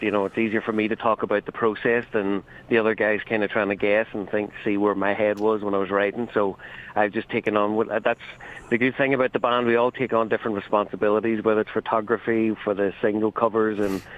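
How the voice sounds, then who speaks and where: Speaking at a fairly quick pace with an Irish accent, this voice stays monotone and flat in its intonation. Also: man. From Ireland. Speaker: band songwriter. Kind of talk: radio interview. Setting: phone call.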